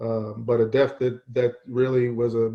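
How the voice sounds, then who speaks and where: A man with an American accent speaks at a medium pitch. His delivery is monotone and flat. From Baltimore, Maryland. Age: 50s. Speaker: football coach. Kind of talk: panel discussion. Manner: halting, many fillers.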